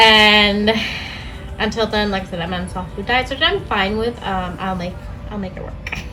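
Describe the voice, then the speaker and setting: Audible room echo and noticeable background noise surround a woman speaking with ordinary pitch variation. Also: medium pitch for a woman, moderate pace. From Puerto Rican background. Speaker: vlogger. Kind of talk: casual vlog update. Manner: casual, filler-heavy.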